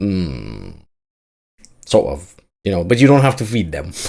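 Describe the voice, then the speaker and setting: A man talks with lively intonation. He speaks with a non-native accent. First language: not English. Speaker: gaming youtuber reacting to trailer. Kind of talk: casual reaction commentary. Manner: animated.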